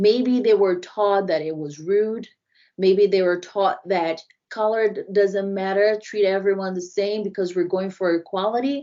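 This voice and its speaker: A woman with a Brazilian accent, fairly even intonation and a fairly slow pace. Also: medium pitch for a woman. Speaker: diversity and inclusion consultant. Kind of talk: podcast interview.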